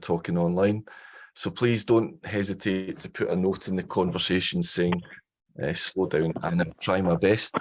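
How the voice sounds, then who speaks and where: With a Scottish accent, a man with a very deep, low voice speaks with fairly even intonation. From Scotland. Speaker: professor. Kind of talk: online information session. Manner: fast.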